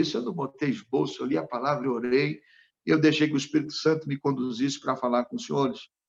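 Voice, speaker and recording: A man's fairly high pitch with vocal fry and ordinary pitch variation. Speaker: pastor. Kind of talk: sermon.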